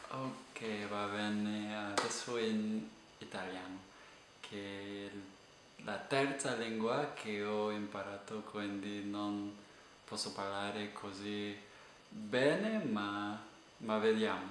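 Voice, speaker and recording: A monotone, flat voice in an English accent at a very slow pace, with long, frequent pauses, noticeable background noise and audible room echo. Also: man, fairly low pitch for a man. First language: English (speaking Italian). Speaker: language teacher and polyglot vlogger. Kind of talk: casual vlog monologue. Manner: halting, many fillers.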